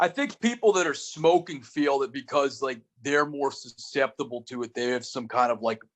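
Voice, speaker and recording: Loud and lively in intonation, a man speaks at a fairly high pitch. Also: moderate pace. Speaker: comedy podcast host. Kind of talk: casual chat. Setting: video call.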